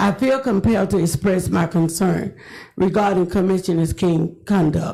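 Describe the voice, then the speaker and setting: A woman with an American accent speaks at a moderate pace in a dark, mellow, somewhat breathy tone, her loudness very even and her pitch varying in an ordinary way. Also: medium pitch for a woman. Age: 70s. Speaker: retired educator speaking at public comment. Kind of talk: public comment statement. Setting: city commission chambers. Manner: formal.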